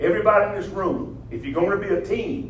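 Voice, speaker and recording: A man with an American accent talks at a very fast pace. Noticeable background noise and audible room echo surround him. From US South, southern Oklahoma. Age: 70s. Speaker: motivational speaker, former football coach. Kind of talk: motivational talk. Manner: animated.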